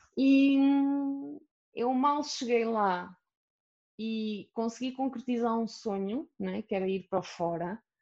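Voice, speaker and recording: Her intonation lively, a woman talks at a very slow pace. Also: fairly high pitch for a woman. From Portugal, Aveiro. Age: 30s. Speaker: plus-size model. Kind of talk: interview.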